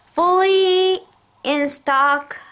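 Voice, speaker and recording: A woman's raised, projected voice. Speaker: vlogger with chronic illness. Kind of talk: casual vlog rant. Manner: slurred words.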